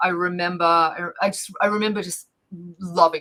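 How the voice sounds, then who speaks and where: An animated woman with an Australian accent, fairly low in pitch, with a bright, sharp tone and a moderate pace. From Australia, Victoria (Bendigo). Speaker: planetary scientist and educator. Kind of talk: casual interview. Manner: animated, many fillers.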